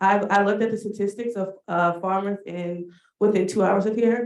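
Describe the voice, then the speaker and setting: In a Washington DC accent, the speaker goes at a moderate pace with fairly even intonation. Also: woman. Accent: Washington DC American English. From Washington DC (Southeast, Ward 8). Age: 30s. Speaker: farm community engagement coordinator, Air Force veteran. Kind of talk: panel discussion.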